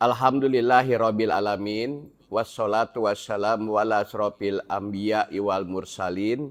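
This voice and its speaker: A man speaks at a fairly low pitch with fairly even intonation. His pace is fairly slow, yet there are hardly any pauses. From Indonesia, Javanese family raised in Bandung (West Java). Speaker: Islamic preacher. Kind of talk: religious study talk to women's group. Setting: mosque. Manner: casual, conversational.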